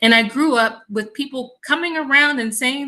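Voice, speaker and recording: This woman speaks at a fairly quick pace with an American accent and ordinary pitch variation. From US South, Mississippi. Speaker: environmental health researcher. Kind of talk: online panel conversation.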